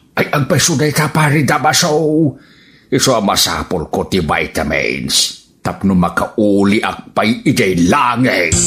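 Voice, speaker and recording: A man's put-on character voice, medium in pitch and fairly slow. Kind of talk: comic radio drama acting. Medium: audio drama. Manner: whiny, complaining.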